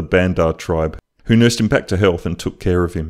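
Speaking with an Australian accent, a man has a very deep, low pitch. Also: very clean recording, silent background. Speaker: YouTube artist. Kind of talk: narrated drawing video.

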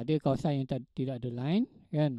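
A moderate pace in a Malaysian accent, dry sound with no echo, over a quiet background. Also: man. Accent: Malaysian Malay. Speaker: lecturer. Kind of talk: online lecture. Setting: online class with audio interface. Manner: hesitant, filler-heavy, teacherly. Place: home room. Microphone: handheld.

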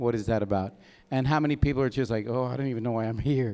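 A man with a dark, mellow tone speaks very fast, his pitch varying in an ordinary way. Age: 50s. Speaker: microdosing coach and vendor. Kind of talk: festival talk. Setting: stage with audience. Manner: animated. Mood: candid, storytelling. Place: hall. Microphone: handheld.

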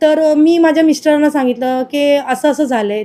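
This woman has a high pitch and a dark, mellow tone. She keeps her intonation fairly even. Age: 30s. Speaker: assault victim, mother. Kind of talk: testimony.

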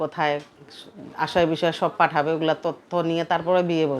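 A woman speaks at fairly low pitch in monotone, flat intonation. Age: 30s. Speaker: domestic worker. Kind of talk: interview. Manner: soft-spoken.

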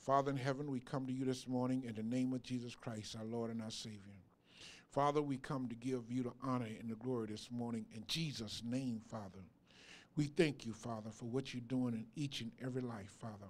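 With fairly even intonation, a man delivers his words at a fairly quick pace. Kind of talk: public prayer. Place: church. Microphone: handheld.

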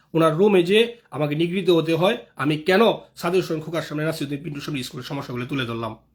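With fairly even intonation, a man talks in a fairly high register. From Bangladesh, Dhaka (Kamrangirchar). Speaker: local political activist. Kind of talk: live video monologue.

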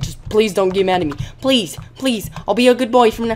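Someone uses a whiny, put-on character voice at a fairly high pitch. The pace is fairly quick, with clear background noise. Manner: whiny, begging.

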